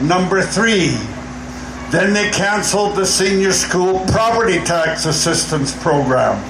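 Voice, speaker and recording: A man's fairly slow, high-pitched voice with fairly even intonation, noticeable background noise and audible room echo. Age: 80s+. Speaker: seniors' advocate. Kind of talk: rally speech. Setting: outdoor rally.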